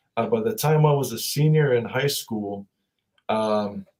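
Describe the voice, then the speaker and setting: A man speaks at a fairly slow pace in a medium pitch with ordinary pitch variation. His tone is dark and mellow, and somewhat breathy. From Hawaii (Laie, Oahu north shore), early childhood in New Zealand. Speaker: university staff member and alumnus. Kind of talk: casual interview. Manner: halting, many fillers.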